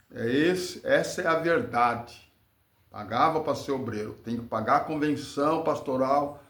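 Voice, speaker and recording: A man's fairly high voice at a fairly slow pace, with ordinary pitch variation and audible room echo. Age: 60s. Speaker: former church worker. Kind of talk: testimony. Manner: preachy.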